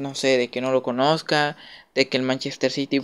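A man speaks with a Mexican accent at a fairly high pitch. The recording is very clean, with a silent background. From Mexico. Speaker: YouTuber, football commentator. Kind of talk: casual monologue. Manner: hesitant, many fillers.

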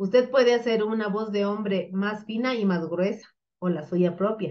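A woman at a medium pitch speaks at a fairly slow pace with ordinary pitch variation.

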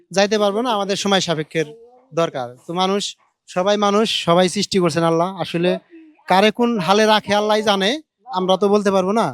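This man's high voice holds fairly even intonation and very even loudness. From Bangladesh, Manikganj (Ghior). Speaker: charity vlogger giving food to the poor. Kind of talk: casual chat with a street beggar.

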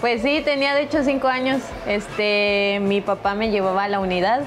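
Over clear background music, a woman talks with ordinary pitch variation. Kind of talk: interview answer. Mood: cheerful, a bit shy. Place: hall.

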